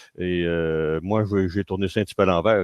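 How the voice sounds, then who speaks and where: In a Quebec accent, a man with a very deep, low pitch speaks at a fairly quick pace in a monotone, flat intonation. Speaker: engineer and agile consultant. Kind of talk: conference keynote. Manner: hesitant, many fillers.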